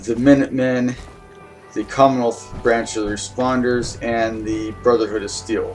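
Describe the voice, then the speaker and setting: Monotone, flat speech at a moderate pace, with music in the background. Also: man, medium pitch for a man. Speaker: gameplay video creator. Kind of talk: casual gameplay commentary. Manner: hesitant, many fillers.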